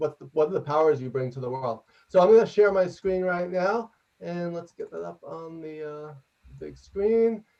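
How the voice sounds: A man with a New York accent speaks loudly in a fairly high pitch, with vocal fry. His tone is dark and mellow, and his pitch varies in an ordinary way.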